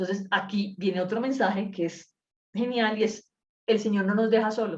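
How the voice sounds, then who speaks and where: Somewhat breathy and at medium pitch, a woman speaks with fairly even intonation. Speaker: Bible study teacher. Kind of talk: Bible study class. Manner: fast; uses filler words.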